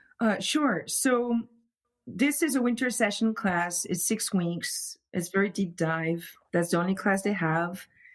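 A woman in a French accent speaks at a fairly slow pace with medium pitch and lively intonation, on a very clean recording with a silent background. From France. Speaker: luthier. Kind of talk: casual interview chat.

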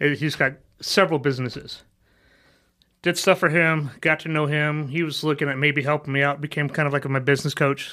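The tone is bright and sharp, with monotone, flat intonation at a fairly quick pace. The recording is very clean, with a silent background. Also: man, fairly high pitch for a man. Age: 40s. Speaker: insurance agent and army veteran. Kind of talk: interview.

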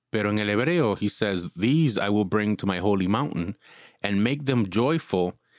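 On a very clean, dry, close recording with a silent background and no echo, a man in a normal speaking voice talks at a fairly slow pace with a fairly low pitch and lively intonation. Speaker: podcast host, bible teacher. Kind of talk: casual chat about scripture, mixing Spanish and English.

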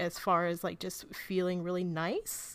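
A woman talks at a fairly slow pace. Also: very clean recording, silent background. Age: 30s. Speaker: film website editor and podcaster. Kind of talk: casual chat.

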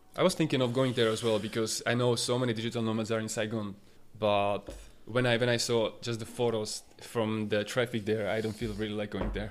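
This man speaks at medium pitch. His pace is fairly quick. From Slovakia, small town. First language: Slovak. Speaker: web designer and entrepreneur. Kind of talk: casual interview.

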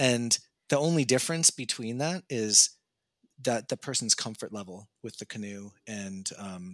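A man's normal speaking voice with a Canadian accent, fairly low in pitch with ordinary pitch variation and big swings in loudness, on a very clean recording with a silent background and a dry, close sound with no echo. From Canada. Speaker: razor designer and 3D video game artist. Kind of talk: casual interview.

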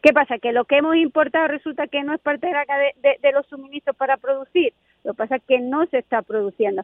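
Moving at a fairly quick pace, a woman talks with ordinary pitch variation. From Spain. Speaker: economics professor. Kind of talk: casual interview.

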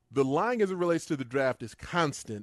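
A man in an ordinary speaking voice, at a fairly quick pace with lively intonation, over a quiet background. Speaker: football analyst guest. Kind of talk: casual chat.

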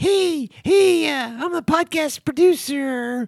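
In a put-on character voice, the speaker talks at a very slow pace and a high pitch. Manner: sinister, smarmy.

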